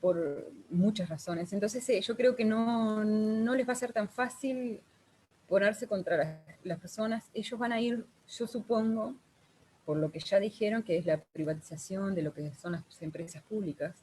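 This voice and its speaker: Somewhat breathy and dark, mellow in tone, a woman with a Uruguayan accent speaks fairly slowly at a fairly high pitch, her intonation lively. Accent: Uruguayan Rioplatense Spanish. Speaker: guest, social worker and real estate agent. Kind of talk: online group conversation.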